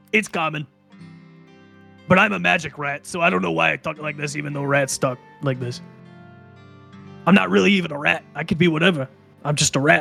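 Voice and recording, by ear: With faint music in the background, a man puts on a raspy character voice, pitched fairly high and moving at a fairly quick pace between long, frequent pauses.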